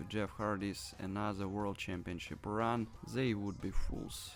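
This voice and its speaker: A man's voice with music in the background. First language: not English. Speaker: wrestling commentary vlogger. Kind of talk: unscripted opinion monologue. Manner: hesitant, with fillers.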